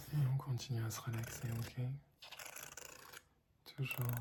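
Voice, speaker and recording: With a calm tone, a man talks very slowly at a medium pitch in a monotone, flat delivery, with noticeable background noise behind him. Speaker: ASMR content creator. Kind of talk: ASMR lo-fi relaxation talk to camera. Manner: soft-spoken, calm, slow.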